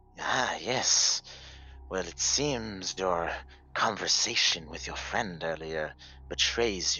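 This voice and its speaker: Using a put-on character voice, a man speaks very slowly in a very deep, low pitch, with lively intonation and big swings in loudness. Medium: actual play. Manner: sly, giggly, teasing.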